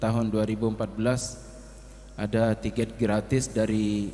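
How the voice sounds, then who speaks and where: In a non-native accent, a man speaks at a moderate pace in a fairly low pitch with monotone, flat intonation. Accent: non-fluent Indonesian. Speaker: Islamic religious teacher. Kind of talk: religious sermon. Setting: Islamic boarding school gathering. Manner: halting.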